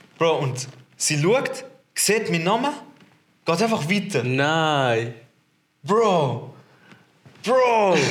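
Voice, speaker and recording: A man's high voice with very wide pitch swings, a very slow pace, long and frequent pauses, and audible room echo. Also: very even loudness. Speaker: podcast host. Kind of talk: casual chat. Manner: animated, lots of laughter.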